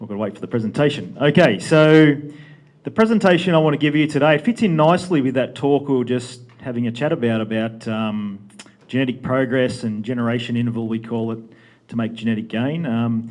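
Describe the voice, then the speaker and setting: Speaking with an Australian accent, a man keeps a medium pitch, ordinary pitch variation and a fairly quick pace. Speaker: livestock genetics presenter. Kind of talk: conference presentation. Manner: fast.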